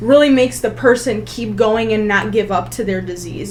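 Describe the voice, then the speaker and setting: The speech moves at a fairly quick pace. Room echo is audible, and music plays in the background. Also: woman. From US, child of Polish immigrants. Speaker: nuclear pharmacist. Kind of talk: casual interview chat.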